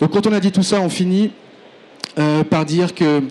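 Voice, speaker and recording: A man speaks with fairly even intonation. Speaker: engineer presenting a project. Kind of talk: conference presentation. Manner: fast; hesitant, many fillers.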